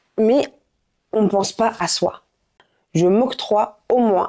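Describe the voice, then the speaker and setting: A woman's dark, mellow tone with lively intonation, on a very clean recording with a silent background. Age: 30s. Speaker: life coach and content creator. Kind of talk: motivational vlog. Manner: animated.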